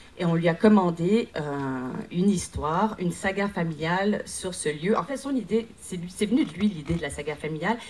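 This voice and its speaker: At a moderate pace, the speech carries lively intonation in a somewhat breathy voice. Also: woman, fairly low pitch for a woman. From Quebec. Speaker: actress and producer pitching a project. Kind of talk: conference project pitch. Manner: halting, many hesitations.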